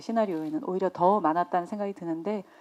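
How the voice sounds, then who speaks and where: This woman has a dark, mellow tone at a medium pitch. The background is quiet. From Busan, South Korea. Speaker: lead film actress. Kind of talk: press conference Q&A.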